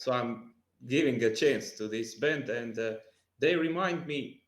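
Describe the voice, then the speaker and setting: With audible room echo, a man talks with ordinary pitch variation. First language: not English. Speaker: music podcast panelist. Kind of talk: casual chat. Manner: halting.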